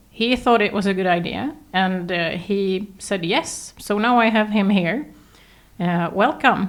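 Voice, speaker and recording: With a slight Swedish accent, a woman talks at a fairly slow pace and a medium pitch, with ordinary pitch variation. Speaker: podcast host. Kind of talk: podcast interview. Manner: hesitant.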